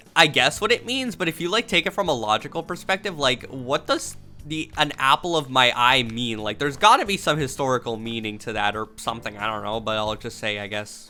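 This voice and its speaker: A woman talks at a fairly quick pace in a very deep, low voice with very wide pitch swings and hardly any pauses. Music plays in the background. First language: not English. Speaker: streamer / content creator. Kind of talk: casual commentary while taking a quiz. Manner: halting, stuttering restarts; animated.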